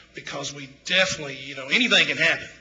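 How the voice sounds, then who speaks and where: A man with a Mississippi accent at a very fast pace, amid audible room echo and noticeable background noise. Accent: Mississippi Southern US. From Tupelo, Mississippi. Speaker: local business owner speaking at council. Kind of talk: public comment at city council. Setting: city council meeting. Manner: halting, many fillers.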